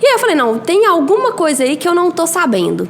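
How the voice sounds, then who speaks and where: Over noticeable background noise, a woman in a Minas Gerais accent speaks at a moderate pace with very wide pitch swings. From Brazil, Minas Gerais (Belo Horizonte). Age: 30s. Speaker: biology teacher and mentor for exam students. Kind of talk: podcast interview.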